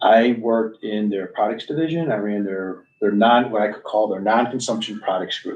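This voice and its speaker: Moderate pace in a Midwestern US accent, with ordinary pitch variation and hardly any pauses. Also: man, medium pitch for a man. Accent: US Midwest. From Stow, Ohio (US Midwest). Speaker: retiree, commission member. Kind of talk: meeting introductions.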